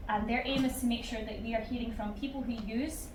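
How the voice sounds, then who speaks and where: A woman speaks at a moderate pace in a high pitch. Audible room echo and noticeable background noise surround her. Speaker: researcher. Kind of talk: conference talk. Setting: stage with audience. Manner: loud; animated.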